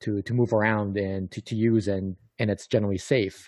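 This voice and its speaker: A man talks at a moderate pace in a fairly low voice, with a dry, close sound and no echo. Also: quiet background. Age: 40s. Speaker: podcast co-host. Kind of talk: casual chat. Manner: halting, repeats words.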